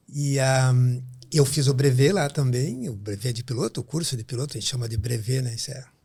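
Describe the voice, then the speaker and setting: A man's somewhat breathy voice at medium pitch and a moderate pace. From southern Brazil, Rio Grande do Sul (São Borja). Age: 60s. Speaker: pediatric neurologist. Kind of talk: podcast interview.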